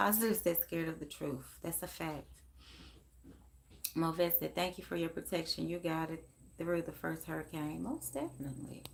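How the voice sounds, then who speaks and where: A quiet woman with an American accent, at a moderate pace, with long, frequent pauses. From Memphis, Tennessee (US South). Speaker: psychic medium live-streamer. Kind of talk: casual live stream chat. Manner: quiet, talking low; animated.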